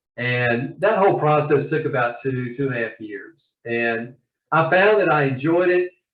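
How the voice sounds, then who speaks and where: The speaker has a Southern US accent and lively intonation. The pace is moderate. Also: man, fairly high pitch for a man. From US South (Georgia). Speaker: novelist and attorney. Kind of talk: interview.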